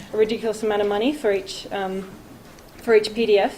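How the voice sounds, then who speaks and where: With an Australian accent, a woman speaks at a fairly quick pace and a fairly high pitch, amid noticeable background noise and audible room echo. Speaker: conservation researcher, PhD student. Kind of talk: conference talk. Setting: conference stage with audience. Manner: hesitant, many fillers.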